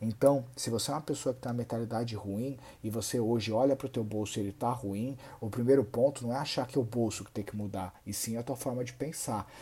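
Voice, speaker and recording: A man talks at a very fast pace in a medium-pitched, somewhat breathy voice. His tone is dark and mellow, with fairly even intonation. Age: 30s. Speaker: personal finance content creator. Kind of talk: monologue to camera.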